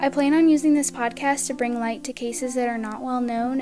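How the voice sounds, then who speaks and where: Over noticeable background noise, a woman with a high pitch speaks at a fairly quick pace and fairly even intonation. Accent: American. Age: 20s. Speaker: podcast host. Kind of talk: scripted introduction monologue.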